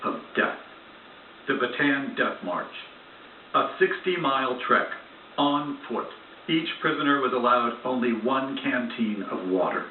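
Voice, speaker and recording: Over noticeable background noise, a man with a medium-pitched voice speaks fairly slowly, his pitch varying in an ordinary way. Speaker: TV news reporter. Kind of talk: TV news report narration.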